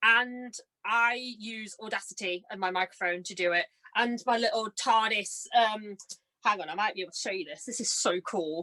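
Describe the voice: A woman's bright, sharp tone at a moderate pace, in a dry, close sound with no echo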